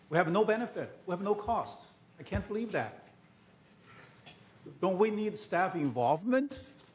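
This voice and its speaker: The voice is loud. The pace is moderate. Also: man. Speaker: resident commenting at meeting. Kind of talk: public comment at meeting.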